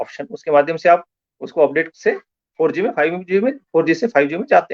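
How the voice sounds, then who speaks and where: A man with a high pitch is heard in a dry, close sound with no echo. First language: Marathi (speaking Hindi). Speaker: science communicator. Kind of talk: lecture. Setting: Facebook live online session.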